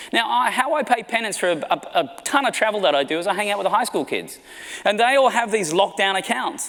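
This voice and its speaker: Speaking at a very fast pace in an Australian accent, the voice sounds animated, with lively intonation. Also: man, high pitch for a man. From Australia, small country town. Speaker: marketing executive. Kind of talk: keynote talk. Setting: stage with audience.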